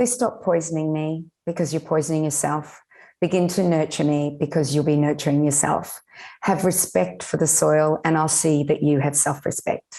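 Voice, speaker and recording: A woman with a very deep, low pitch and a dark, mellow tone, with an Australian accent, at a moderate pace, with ordinary pitch variation and very even loudness, over a quiet background. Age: 60s. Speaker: nutritionist and regenerative farmer. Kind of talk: interview podcast.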